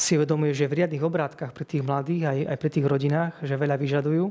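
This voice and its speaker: In a flat monotone, a man talks with a fairly high pitch. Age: 40s. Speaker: hospital chaplain priest. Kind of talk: interview. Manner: repetitive, hesitant word repeats.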